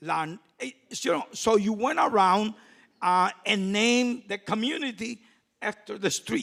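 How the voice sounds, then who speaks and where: A man speaks fairly slowly with a Puerto Rican accent. His voice is high-pitched with a bright, sharp tone and lively intonation. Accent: Puerto Rican-Chicago English. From Puerto Rico, raised in Chicago. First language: Spanish. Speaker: community activist. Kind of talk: panel talk. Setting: stage with audience.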